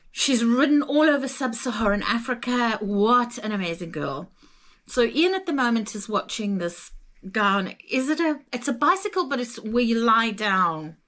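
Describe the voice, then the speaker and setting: In a Zimbabwean accent, a woman talks at a moderate pace with a fairly high, animated voice that swings very widely in pitch. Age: 60s. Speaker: travel vlogger. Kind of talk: casual chat.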